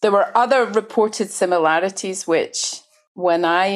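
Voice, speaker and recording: A woman speaks with a Glasgow accent on a very clean recording with a silent background. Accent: Scottish (Glaswegian). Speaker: journalist. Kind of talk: interview conversation.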